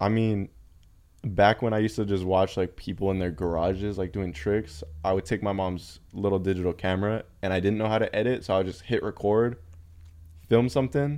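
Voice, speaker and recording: Against a quiet background, a dark, mellow voice moves at a fairly quick pace with ordinary pitch variation. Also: man, fairly low pitch for a man. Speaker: skateboarder and video creator. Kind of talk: casual chat.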